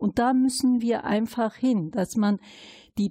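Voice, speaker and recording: On a very clean recording with a silent background and a dry, close sound with no echo, a woman speaks in a fairly high, somewhat breathy voice with a dark, mellow tone. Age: 50s. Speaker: city councillor and integration worker. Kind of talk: interview conversation.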